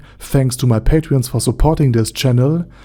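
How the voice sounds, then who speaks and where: A man with a non-native accent, medium in pitch, somewhat breathy and dark, mellow in tone, at a moderate pace with ordinary pitch variation. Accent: foreign accent, self-noted. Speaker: anime lore YouTuber. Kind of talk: video essay narration.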